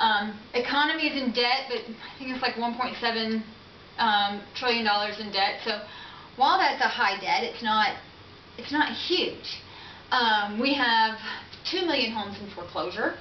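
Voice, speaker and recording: The speaker has an unremarkable speaking voice, a moderate pace and ordinary pitch variation. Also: woman, fairly high pitch for a woman. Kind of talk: political speech. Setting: camera recording, poor audio.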